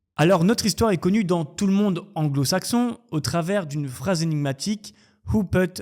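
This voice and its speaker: With an ordinary speaking voice, a man talks at a fairly slow pace using lively intonation. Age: 30s. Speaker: YouTube true crime storyteller. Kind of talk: storytelling narration. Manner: casual, lively.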